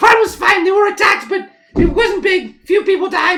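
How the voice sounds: Putting on a squeaky character voice, a man speaks at an extremely high pitch with vocal fry, a bright, sharp tone, ordinary pitch variation and a moderate pace.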